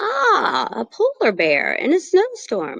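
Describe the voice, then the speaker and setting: Using a put-on character voice, a woman talks at a high pitch and a fairly slow pace. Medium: read story.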